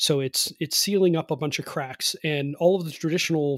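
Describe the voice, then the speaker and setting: A man with an American accent and a fairly high pitch, ordinary pitch variation, moderate pace, in a very clean recording with a silent background and a dry, close sound with no echo. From Cleveland, Ohio, US Midwest. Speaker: home energy performance contractor and author. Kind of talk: interview. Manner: hesitant, many fillers and repeats.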